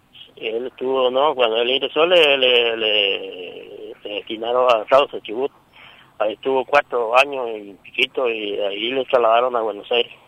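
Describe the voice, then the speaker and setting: There is noticeable background noise as a man speaks at a moderate pace. His medium pitch carries fairly even intonation. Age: 50s. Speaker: father of a wounded police officer. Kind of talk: phone interview. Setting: phone call from airport. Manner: halting.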